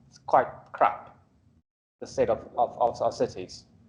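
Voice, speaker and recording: A man speaks with a South African accent at a moderate pace. His tone is dark and mellow. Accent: Afrikaans South African. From South Africa, Afrikaans-speaking. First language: Afrikaans. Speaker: urban planner, guest lecturer. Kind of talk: guest lecture to students. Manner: casual, interactive; halting, repetitive fillers.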